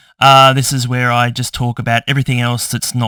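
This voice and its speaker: A man's bright, sharp voice with an Australian accent, at a fairly slow pace, with a dry, close sound and no echo. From Tasmania, Australia. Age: 50s. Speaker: YouTuber. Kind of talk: casual vlog chat. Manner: ranting, animated.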